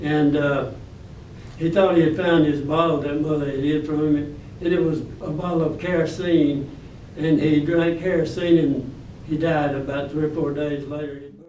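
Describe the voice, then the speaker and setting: Amid noticeable background noise and audible room echo, a man with a fairly high pitch and an Alabama accent speaks at a moderate pace with monotone, flat intonation. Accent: Southern US (Alabama). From US South, Alabama (Birmingham). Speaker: war veteran. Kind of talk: testimony. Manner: halting.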